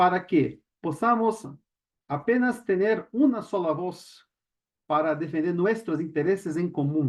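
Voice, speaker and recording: A man's high-pitched voice in a Brazilian accent, with lively intonation and a fairly slow pace. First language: Portuguese (speaking Spanish). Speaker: panel speaker, lawyer and doctoral student. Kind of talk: panel talk. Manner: halting, many fillers.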